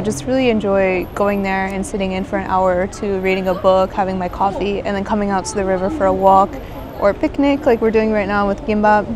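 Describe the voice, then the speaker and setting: Over noticeable background noise, a woman speaks at a very fast pace with ordinary pitch variation in a dry sound with no echo. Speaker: travel vlogger. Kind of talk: casual vlog chat. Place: waterside. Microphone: phone near.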